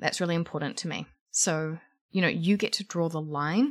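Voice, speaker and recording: A woman with a New Zealand accent comes through in a very clean recording with a silent background. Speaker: podcast host and career coach. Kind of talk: solo podcast monologue. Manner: animated, energetic.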